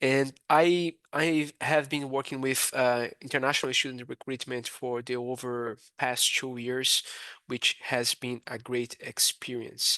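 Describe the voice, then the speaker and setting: Recorded dry and close with no echo over a quiet background, a man speaks at a fairly slow pace and medium pitch with a bright, sharp tone, monotone, flat intonation and hardly any pauses. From Brazil. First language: Portuguese. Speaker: university international recruitment advisor. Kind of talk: webinar presentation. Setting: online webinar. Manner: hesitant, many fillers.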